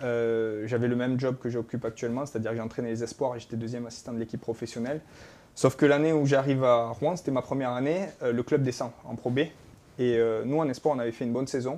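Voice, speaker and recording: A man with a southwestern French accent, very fast, medium-pitched, with a dark, mellow tone and fairly even intonation. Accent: southwest French. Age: 30s. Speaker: basketball coach. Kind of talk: talk show interview. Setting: studio.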